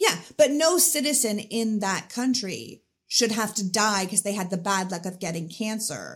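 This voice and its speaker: With a Canadian accent, a woman talks at a moderate pace in a medium pitch, her voice somewhat breathy and her intonation lively. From Canada. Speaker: political commentator and podcaster. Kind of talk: interview conversation.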